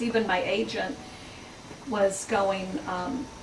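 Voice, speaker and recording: A woman speaks with an American accent and ordinary pitch variation. Noticeable background noise and audible room echo are present. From Mississippi, Natchez. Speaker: chef and cookbook author. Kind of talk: book talk Q&A. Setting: bookstore event with audience.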